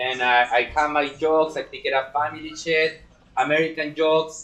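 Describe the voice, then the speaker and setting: With a strong Chilean accent, a man speaks at a fairly high pitch and a moderate pace, his intonation monotone and flat. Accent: heavy Chilean Spanish accent in English. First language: Spanish. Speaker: stand-up comedian. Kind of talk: casual chat. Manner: halting.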